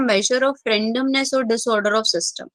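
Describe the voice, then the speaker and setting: Soft-spoken, a woman talks at a moderate pace in a bright, sharp tone, with a fairly high pitch and ordinary pitch variation. The sound is dry and close, with no echo. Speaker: chemistry teacher. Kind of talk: online class lecture. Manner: speaking softly.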